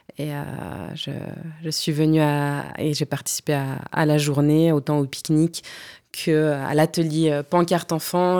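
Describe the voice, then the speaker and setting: A woman's very deep, low voice, dark and mellow, monotone and flat, at a fairly slow pace on a very clean recording with a silent background. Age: 30s. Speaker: lawyer and human rights activist. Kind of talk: casual chat. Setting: studio.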